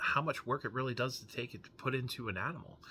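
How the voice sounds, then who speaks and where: With a bright, sharp tone, a man talks at a fairly quick pace on a very clean recording with a silent background. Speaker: comic book YouTuber. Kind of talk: casual vlog monologue. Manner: halting.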